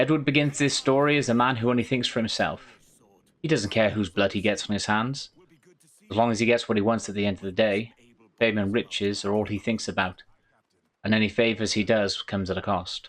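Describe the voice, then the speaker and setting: Against a quiet background, a man with a Welsh accent talks at a fairly quick pace in a fairly low voice with ordinary pitch variation. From Wales. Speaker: gaming YouTuber, game reviewer. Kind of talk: scripted game review narration.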